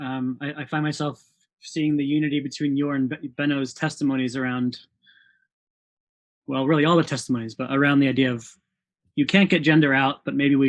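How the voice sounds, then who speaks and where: Over a quiet background, the speech moves at a fairly quick pace. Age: 30s. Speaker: gender equality activist, session moderator. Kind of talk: online panel discussion. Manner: halting.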